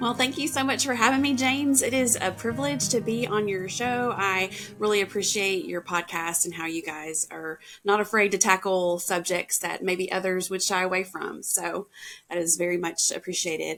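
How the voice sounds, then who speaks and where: With music playing in the background, a woman with a Southern US accent talks at a medium pitch with lively intonation. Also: moderate pace. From US South, Tennessee. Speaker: podcast guest sharing mental health story. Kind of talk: personal testimony in interview.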